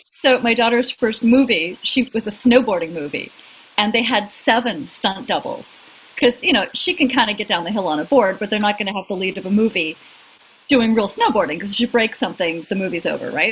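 A woman's fairly high, lively voice at a fairly quick pace, amid noticeable background noise. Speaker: acting career coach and podcaster. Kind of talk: casual comedic chat.

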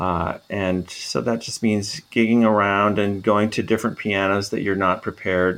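This man talks at a fairly quick clip with an American accent. His pitch sits fairly low. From US Midwest, Minnesota. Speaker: musicology professor. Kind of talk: interview.

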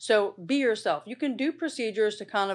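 Talking at a fairly quick pace, a woman with a fairly high pitch comes through on a very clean recording with a silent background. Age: 50s. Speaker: dermatologist. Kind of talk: casual interview. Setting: studio.

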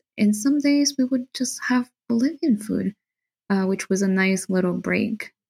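A woman with a fairly high, somewhat breathy voice speaks at a fairly slow pace, in a dry, close sound with no echo. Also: ordinary pitch variation. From Bolivia. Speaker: guest. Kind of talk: casual interview chat.

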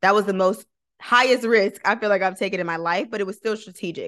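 Talking very fast with an American accent, a woman keeps a medium pitch, an animated tone and ordinary pitch variation. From Michigan (Flint). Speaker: lawyer and content creator. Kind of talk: interview.

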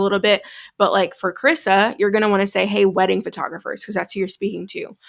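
A woman's plain, everyday voice, a plain, everyday voice at medium pitch with fairly even intonation, on a very clean recording with a silent background. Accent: American. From US Midwest, Chicago. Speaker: business coach. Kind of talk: tutorial; interview conversation.

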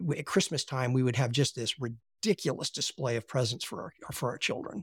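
With an American accent, the speaker talks at a moderate pace, somewhat breathy, with ordinary pitch variation, in a dry, close sound with no echo and a very clean recording over a silent background. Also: man. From US, Appalachia. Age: 60s. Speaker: philosophy teacher. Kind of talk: interview conversation.

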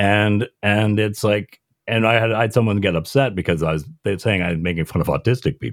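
A man has an unremarkable speaking voice. His pitch is fairly low, with ordinary pitch variation. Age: 40s. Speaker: comedian. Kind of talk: casual chat.

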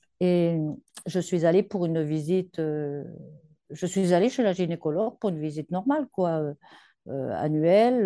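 Her tone dark and mellow, a woman speaks at a fairly slow pace in a fairly low voice with ordinary pitch variation over a quiet background. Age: 70s. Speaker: breast cancer survivor. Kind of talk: testimony. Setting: separate room from her daughter, remote.

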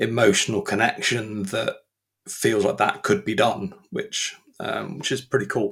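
A man speaks at a fairly slow pace in a fairly low, fairly bright voice with vocal fry, a husky, rough edge and little pitch movement.

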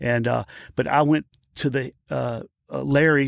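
A man at medium pitch with a Louisiana accent, moderate pace, dry, close sound with no echo, and a very clean recording with a silent background. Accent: Louisiana Southern US. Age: 50s. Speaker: actor and stuntman. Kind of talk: casual interview. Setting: studio.

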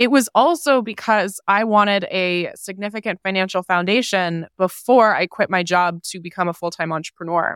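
A woman speaks in a plain, everyday voice at a medium pitch and a moderate pace, with hardly any pauses. The recording is very clean with a silent background and a dry, close sound with no echo. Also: ordinary pitch variation. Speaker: personal finance entrepreneur and author. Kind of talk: interview.

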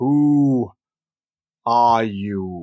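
This booming, put-on character voice has ordinary pitch variation. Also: man. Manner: commanding.

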